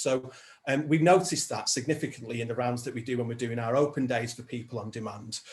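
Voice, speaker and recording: Speaking at a fairly quick pace in a northern English accent, a man has a somewhat breathy voice of medium pitch. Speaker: social enterprise founder, former music professional. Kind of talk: evidence session testimony. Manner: hesitant, many fillers.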